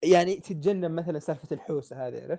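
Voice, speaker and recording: The voice has a dark, mellow tone and ordinary pitch variation at a fairly quick pace, recorded dry and close with no echo against a quiet background. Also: man. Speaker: podcast host. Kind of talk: casual chat.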